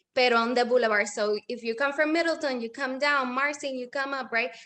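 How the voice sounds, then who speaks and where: A woman's high, bright, sharp voice with a Spanish accent, ordinary pitch variation, and a moderate pace. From Puerto Rico. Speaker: small business owner. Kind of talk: interview. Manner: code-switching with hesitations.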